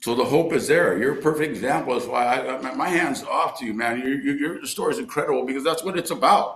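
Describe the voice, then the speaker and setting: Audible room echo surrounds a man speaking at a very fast pace with a fairly high pitch and lively intonation. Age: 60s. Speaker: recovery speaker and baseball coach. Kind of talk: recovery meeting share. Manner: animated.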